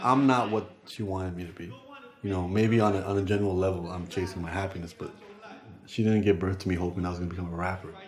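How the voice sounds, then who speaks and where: Very deep and low, a man's voice runs at a very fast pace with fairly even intonation. Audible room echo and noticeable background noise surround it. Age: 30s. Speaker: rapper and spoken-word artist. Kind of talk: documentary interview.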